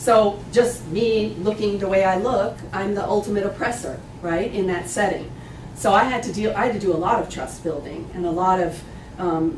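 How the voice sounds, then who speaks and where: A woman's medium-pitched voice with ordinary pitch variation, audible room echo and noticeable background noise. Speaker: bioethicist and medical anthropologist. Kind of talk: lecture. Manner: fast.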